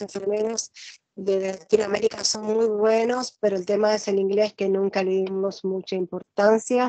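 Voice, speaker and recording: At a moderate pace, a woman speaks with monotone, flat intonation in a dry, close sound with no echo. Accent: Rioplatense. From Argentina. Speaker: nurse and interviewer. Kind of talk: interview. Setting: video call. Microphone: unstable Wi-Fi connection.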